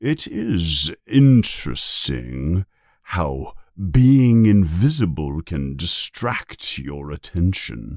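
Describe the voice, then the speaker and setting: In a put-on character voice, a man speaks at a very slow pace, his pitch very deep and low yet making very wide swings, on a very clean recording with a silent background. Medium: read story. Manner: calm, gentle, measured.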